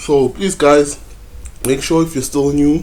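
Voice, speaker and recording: A man with a Zulu accent at a medium pitch and a fairly slow pace. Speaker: forex trading YouTuber. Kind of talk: tutorial. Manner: hesitant, many fillers.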